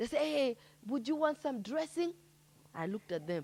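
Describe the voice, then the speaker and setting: A woman's raised, projected voice in a Kenyan accent, animated in tone, with crowd noise behind her. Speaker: poet and storyteller. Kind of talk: stand-up style storytelling.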